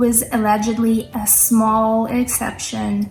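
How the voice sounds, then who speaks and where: Music plays in the background as a woman speaks in a fairly high voice. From third world country. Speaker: crypto trader. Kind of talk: casual talk to camera.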